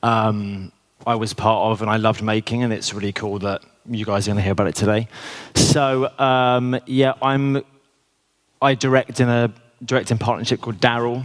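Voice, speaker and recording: A plain, everyday voice with fairly even intonation. The pace is moderate. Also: man, medium pitch for a man. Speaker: commercial director. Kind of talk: conference talk. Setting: stage with audience.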